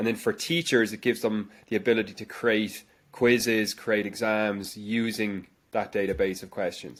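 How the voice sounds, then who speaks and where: On a very clean recording with a silent background, a man with a Dublin accent speaks at a moderate pace in a fairly low pitch with fairly even intonation. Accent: Dublin Irish. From Ireland, Dublin. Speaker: education company founder, former science teacher. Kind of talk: interview answers. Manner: hesitant with repetitions.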